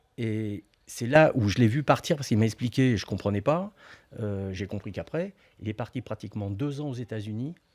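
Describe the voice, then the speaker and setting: Moderate speed and ordinary pitch variation from a man with a mid-range pitch. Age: 60s. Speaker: football pundit. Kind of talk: casual chat. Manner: halting.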